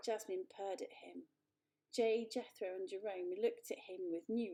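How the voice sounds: Heard against a quiet background, this is a natural reading voice.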